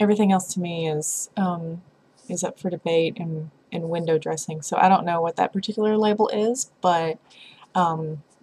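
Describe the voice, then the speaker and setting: A woman with an American accent speaks in a fairly low pitch, her intonation fairly even. Her tone is dark and mellow, and somewhat breathy. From US South, Tennessee (Lynchburg). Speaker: vlogger. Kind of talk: casual vlog monologue. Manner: halting, many fillers.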